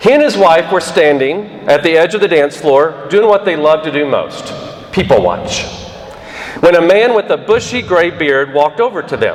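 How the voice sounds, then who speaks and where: The voice is loud, with lively intonation and a fairly slow pace. Noticeable background noise runs underneath. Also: man. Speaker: commencement speaker. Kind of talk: speech. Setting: auditorium with audience.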